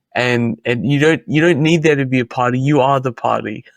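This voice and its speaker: Against a quiet background with a dry, close sound and no echo, a man with an Australian accent speaks at a medium pitch and a fairly quick pace with ordinary pitch variation. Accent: Australian, kept after 25 years in US. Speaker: Bitcoin author and commentator. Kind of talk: podcast interview.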